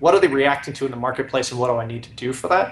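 Room echo is audible here. The speaker is male. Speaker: guest. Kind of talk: interview answer. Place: home room. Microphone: video call.

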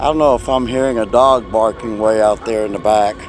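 Clear music plays in the background while a man speaks at a moderate pace. His intonation is fairly even, and the sound is dry with no echo. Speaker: paranormal vlogger. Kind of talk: casual vlog chat, speaking to spirits. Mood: calm, gentle, reflective. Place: open country. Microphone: phone near.

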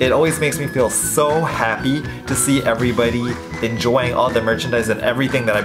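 A man at a moderate pace, clear music playing in the background. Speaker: vlogger. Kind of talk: casual vlog chat. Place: home room. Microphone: phone near.

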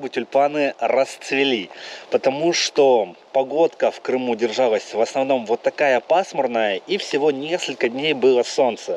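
A man's voice at a moderate pace, with ordinary pitch variation, light background noise and a dry sound with no echo. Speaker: travel vlogger. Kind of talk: casual vlog chat. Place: garden. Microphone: phone near.

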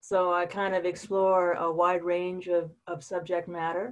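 A woman talks at a moderate pace with an American accent. Her pitch is fairly low. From US South, Florida Panhandle; Florida. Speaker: painter; interviewee. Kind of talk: interview. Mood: friendly, smiling. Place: home room. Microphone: breaking up connection; video call.

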